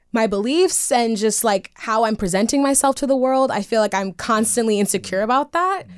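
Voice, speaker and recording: A woman with an ordinary speaking voice and a fairly high pitch talks at a fairly quick pace, with lively intonation, very even loudness and hardly any pauses. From New York City (Brooklyn). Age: 20s. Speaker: dating show contestant. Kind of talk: casual chat. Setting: studio.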